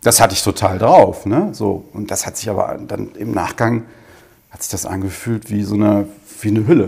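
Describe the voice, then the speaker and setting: At a moderate pace, a man with a fairly low pitch and a dark, mellow tone sounds somewhat breathy, showing ordinary pitch variation and big swings in loudness. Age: 40s. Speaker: business owner and coach. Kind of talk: interview.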